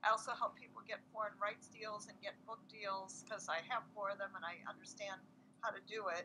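A woman's bright, sharp tone with fairly even intonation at a fairly quick pace, over noticeable background noise. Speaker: author and kindness speaker. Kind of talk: interview conversation. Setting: online video call. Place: home room. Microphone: video call.

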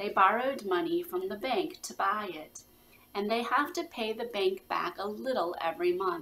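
The clip features a natural reading voice.

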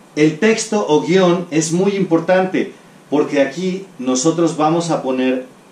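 Speech at a fairly slow pace carries audible room echo. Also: man. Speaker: teacher. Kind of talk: lecture. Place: home room.

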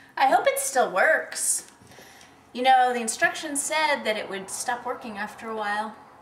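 Speaking at a moderate pace, a woman with a high-pitched voice swings widely in loudness, with audible room echo and light background noise. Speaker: actress in a film scene. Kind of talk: scripted film dialogue. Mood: soft, hopeful, slightly playful. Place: bathroom.

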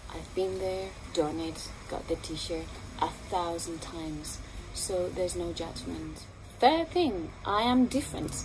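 Against noticeable background noise, a woman with a non-native accent talks at a fairly slow pace, her loudness swinging widely. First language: not English. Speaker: spiritual healer and channeler. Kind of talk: promotional monologue to camera. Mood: warm, earnest, encouraging. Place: garden.

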